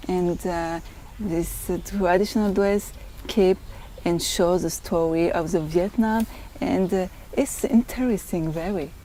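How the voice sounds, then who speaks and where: A woman with a French accent speaks fairly slowly at a medium pitch with ordinary pitch variation. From France. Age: 20s. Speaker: beauty pageant contestant. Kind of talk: interview. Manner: halting.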